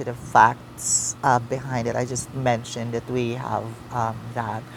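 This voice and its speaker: Over noticeable background noise, a speaker with a Visayan Filipino accent talks at a fairly slow pace. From Philippines, Mindanao (Caraga, Davao Oriental). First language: Visayan (Kinaraga dialect). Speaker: vlogger. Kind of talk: casual self-introduction vlog. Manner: halting, many hesitations.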